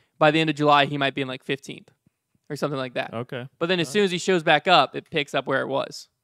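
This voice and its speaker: The tone is bright and sharp, delivered at a very fast pace. The sound is dry with no echo, over a quiet background. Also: man. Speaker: podcast host. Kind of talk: casual debate chat. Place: studio. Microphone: studio mic.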